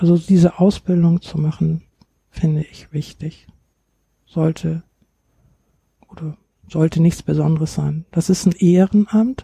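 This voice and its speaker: Fairly low for a woman, her dark, mellow voice is somewhat breathy and comes at a fairly slow pace with long, frequent pauses, in a dry, close sound with no echo. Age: 60s. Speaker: grief counselor. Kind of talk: interview.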